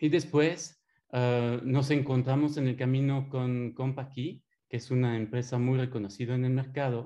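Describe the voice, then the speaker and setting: At a moderate pace, a man talks in a medium pitch with a dark, mellow tone. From Belgium. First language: French (speaking Spanish). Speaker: systems engineer. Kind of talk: webinar presentation.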